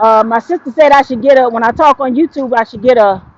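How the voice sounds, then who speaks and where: Loud and lively in intonation, a woman speaks at a moderate pace with a high pitch. The sound is dry and close with no echo. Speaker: vlogger. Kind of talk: casual vlog monologue. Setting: outdoors, walking on street.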